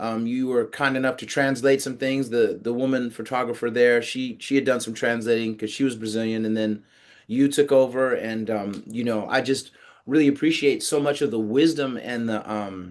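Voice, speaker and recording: An ordinary speaking voice with an American accent moves at a moderate pace over a quiet background. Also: man, medium pitch for a man. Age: 50s. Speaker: podcast host, interviewer. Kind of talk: interview. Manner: casual, with frequent fillers.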